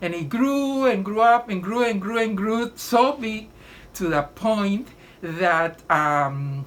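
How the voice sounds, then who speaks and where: Her pitch swings very widely around a medium level. The woman speaks at a very slow pace. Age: 80s+. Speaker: patient. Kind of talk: testimony. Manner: halting.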